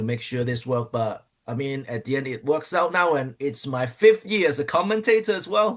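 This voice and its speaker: His voice sits fairly high and swings very widely in pitch. The man keeps a moderate pace. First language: not English. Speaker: pro wrestler. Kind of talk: interview. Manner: halting.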